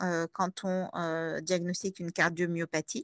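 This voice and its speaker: A woman at a very slow pace, bright and sharp in tone, with dry, close sound, no echo and a quiet background. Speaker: paediatric cardiologist lecturer. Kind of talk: lecture. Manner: hesitant, many fillers.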